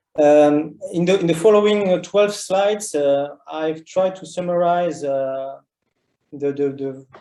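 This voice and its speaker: Fairly even in intonation, a man with a French accent and a dark, mellow tone speaks at a moderate pace. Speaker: geoscience researcher. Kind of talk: online seminar talk. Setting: online meeting. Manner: halting, many fillers.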